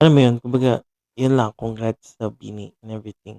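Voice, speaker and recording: In a dry, close sound with no echo, the voice moves at a fairly quick pace with a dark, mellow tone and monotone, flat intonation. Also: man. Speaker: streamer. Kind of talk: casual live stream chat. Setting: home at night, live stream. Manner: quieter than usual, subdued; halting, self-correcting.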